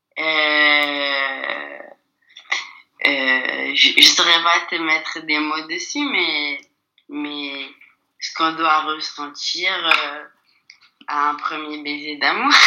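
Very slow delivery with long, frequent pauses. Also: woman. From France. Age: 20s. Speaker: actress. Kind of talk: casual chat.

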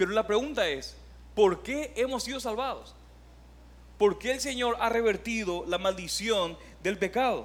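A man speaks in a high pitch at a fairly slow pace. He leaves long, frequent pauses. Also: ordinary pitch variation. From Paraguay. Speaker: pastor. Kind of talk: sermon.

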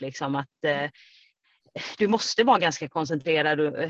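Very deep, low pitch for a woman, with ordinary pitch variation. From Sweden, Kalmar. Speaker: trail runner. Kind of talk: interview. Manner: hesitant, many fillers.

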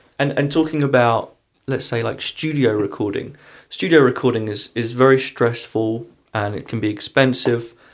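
A man with a medium pitch and ordinary pitch variation talks at a moderate pace, recorded very cleanly against a silent background. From London, England. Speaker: guitarist and singer. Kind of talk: casual interview chat. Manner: hesitant, many fillers.

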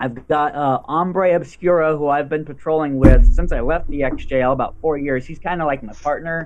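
Amid noticeable background noise, a man with a fairly high pitch speaks at a moderate pace with fairly even intonation and hardly any pauses. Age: 30s. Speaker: real-life superhero. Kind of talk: casual chat.

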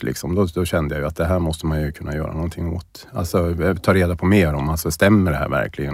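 A man talks at a fairly quick pace. His pitch is very deep and low, his intonation fairly even. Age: 50s. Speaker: person with early-onset Alzheimer's. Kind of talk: personal interview, testimony. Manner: halting, many repetitions and fillers.

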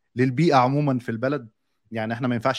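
Very fast, medium-pitched male speech over a quiet background. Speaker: podcast moderator. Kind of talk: casual chat.

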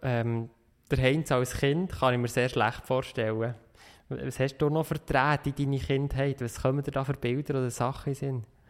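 A man speaks at a medium pitch and a moderate pace, his intonation fairly even, on a very clean recording with a silent background. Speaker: podcast host. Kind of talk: interview. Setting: meeting room.

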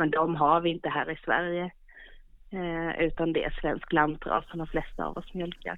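Speaking in a monotone, flat intonation, a woman keeps a moderate pace at a fairly low pitch. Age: 40s. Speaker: goat farmer. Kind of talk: interview. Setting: phone call.

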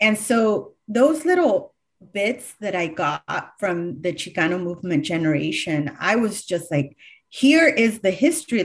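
In a Californian accent, a woman speaks at medium pitch with very wide pitch swings and a somewhat breathy voice over a quiet background. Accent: Californian American English. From California, Sacramento County (Galt). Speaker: history professor and author. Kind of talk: interview.

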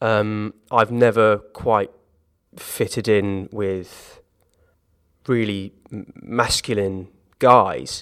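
A man with a southern English accent, fairly low-pitched, at a very slow pace with long, frequent pauses and fairly even intonation. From southern England, Hampshire (Gosport). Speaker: musical theatre actor. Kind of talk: interview conversation. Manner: hesitant, many repetitions and fillers.

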